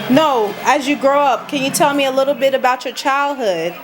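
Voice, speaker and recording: With music in the background, a woman with a high pitch speaks at a moderate pace. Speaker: interviewer. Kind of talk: casual interview questions.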